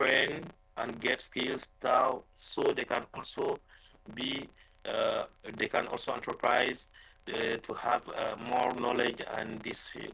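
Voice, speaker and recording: A man speaks at a very slow pace. He has a non-native accent. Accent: non-native English speaker, self-described. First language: French. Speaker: conference presenter, researcher. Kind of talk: Q&A answer at conference session. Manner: halting, many fillers.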